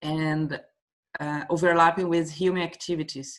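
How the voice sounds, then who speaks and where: A woman with a Portuguese accent, fairly low in pitch, at a moderate pace. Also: very clean recording, silent background. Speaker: workshop participant, marine biologist. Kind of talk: casual discussion. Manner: halting.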